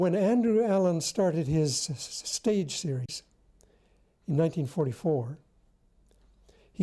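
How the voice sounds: A woman speaks with low pitch at a fairly slow pace. Her tone is dark and mellow.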